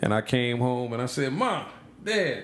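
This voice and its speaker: A man speaks with an American accent. Audible room echo and noticeable background noise fill the recording. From Kentucky and Florida (born near Detroit). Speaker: podcast guest. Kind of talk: casual chat.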